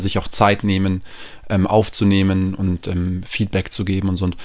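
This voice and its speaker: Over noticeable background noise, a man speaks fairly slowly in a very deep, low pitch with monotone, flat intonation. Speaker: musician and music teacher. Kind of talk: casual chat. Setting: at host's home, on the couch.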